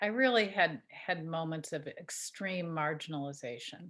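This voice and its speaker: This woman's voice sits fairly low in pitch, with ordinary pitch variation. The recording is very clean and the background silent. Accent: American. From US Midwest, Chicago area. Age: 60s. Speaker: artist. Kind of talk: interview. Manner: halting, many fillers and repeated words.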